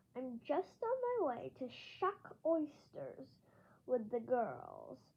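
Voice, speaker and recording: A woman uses a put-on character voice, raised and projected. She speaks at a high pitch and a very slow pace. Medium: read story.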